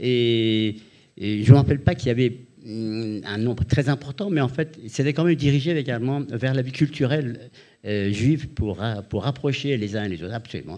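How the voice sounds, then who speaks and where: The background is quiet as a man talks at a fairly quick pace. His tone is dark and mellow, with medium pitch and ordinary pitch variation. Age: 80s+. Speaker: retired-age architect, former student resident. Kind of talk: panel discussion testimony. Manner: halting, many repetitions.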